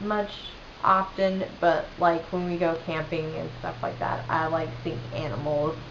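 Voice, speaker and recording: A fairly low-pitched woman's voice with a slight Southern US accent, audible room echo and noticeable background noise. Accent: slight Southern twang. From US South, western North Carolina. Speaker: vlogger. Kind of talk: casual chat. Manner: casual, filler-heavy.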